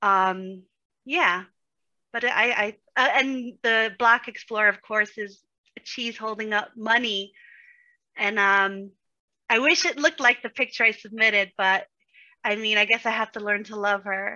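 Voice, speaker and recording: With a New York accent, a woman speaks fairly slowly at a fairly high pitch with ordinary pitch variation and long, frequent pauses. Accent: New York (Bronx). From New York, the Bronx. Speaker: day trader, community member. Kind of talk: casual interview chat.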